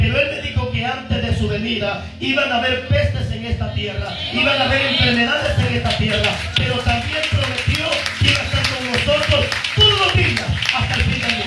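A man speaks at a fairly quick pace, with audible room echo and music playing in the background. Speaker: pastor. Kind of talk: sermon.

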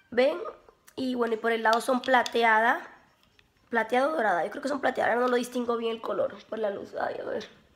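An animated, high-pitched woman's voice at a fairly quick pace, with ordinary pitch variation. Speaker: beauty vlogger. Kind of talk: casual vlog.

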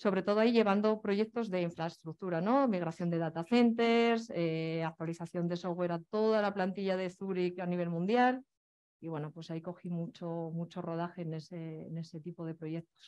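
A woman speaks at a moderate pace in a fairly low pitch with ordinary pitch variation. It is a normal speaking voice against a quiet background. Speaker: speaker. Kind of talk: talk about her career. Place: stage. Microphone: headset.

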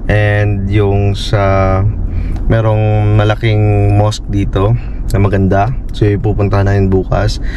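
Amid noticeable background noise, a man speaks at a fairly low pitch with ordinary pitch variation in a dry sound with no echo. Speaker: travel vlogger. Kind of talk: casual vlog chat. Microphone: phone near.

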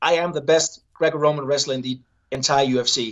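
This man talks at a fairly high pitch with a Danish accent and fairly even intonation. His pace is moderate, and the background is quiet. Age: 30s. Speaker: Olympic wrestler turned MMA fighter. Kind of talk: casual interview. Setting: video call from hotel. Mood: relaxed, upbeat. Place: home room. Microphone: video call.

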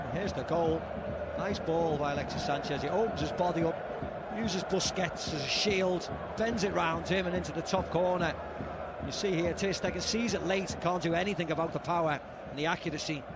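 Noticeable background noise accompanies a man with a high pitch who speaks at a fairly quick pace in an animated, enthusiastic tone. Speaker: football co-commentator. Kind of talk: live co-commentary on a match. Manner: animated, enthusiastic analysis.

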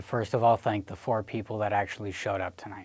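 A man's fairly low voice at a very fast pace, with monotone, flat intonation. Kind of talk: scripted introduction. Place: studio.

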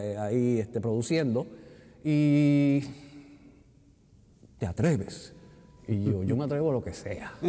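A man with a dark, mellow tone speaks at a fairly slow pace. He takes long, frequent pauses, and his pitch varies in an ordinary way. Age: 60s. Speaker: retired theatre technical director and actor; actor. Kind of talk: interview. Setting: theatre lobby. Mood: relaxed, anecdotal storytelling. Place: hall.

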